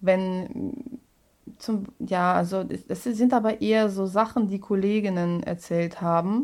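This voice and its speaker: Speaking in a Russian accent, a woman talks at a very slow pace. Her pitch sits in the medium range. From Russia (Moscow). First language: Russian (speaking German). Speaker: musical comedian. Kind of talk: casual interview. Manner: halting.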